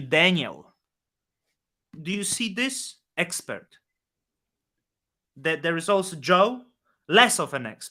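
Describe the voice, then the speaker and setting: A man with a non-native accent uses a raised, projected voice at a high pitch. His tone is bright and sharp, and his pace very slow. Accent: foreign. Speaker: crypto podcast co-host. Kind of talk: casual chat. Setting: live stream. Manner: animated.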